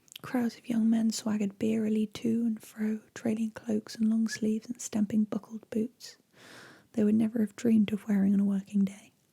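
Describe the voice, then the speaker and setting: Soft-spoken whispering in a gentle tone at a moderate pace. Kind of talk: ASMR bedtime story reading. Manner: soft-spoken, gentle, relaxing; whispered in places.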